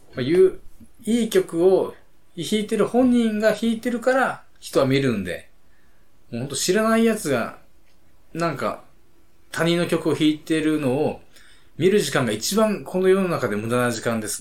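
This man's pitch is high and swings very widely. He speaks at a moderate pace with long, frequent pauses. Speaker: podcast co-host. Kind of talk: casual chat.

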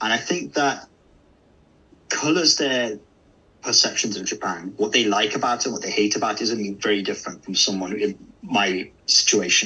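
Delivered at a moderate pace, the speech has lively intonation and an English Midlands accent. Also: man, fairly low pitch for a man. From English Midlands, Derby. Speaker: localization manager in video games. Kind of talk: interview. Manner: hesitant, many fillers.

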